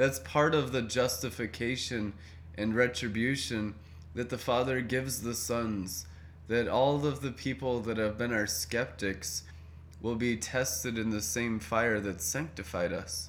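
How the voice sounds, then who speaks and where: Speaking at a fairly slow pace with lively intonation, this is a plain, everyday voice. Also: man, medium pitch for a man. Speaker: prayer meeting leader. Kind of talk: group prayer meeting chat. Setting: video call.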